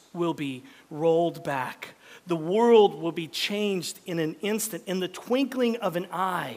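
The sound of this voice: Heard here is an unforced reading voice.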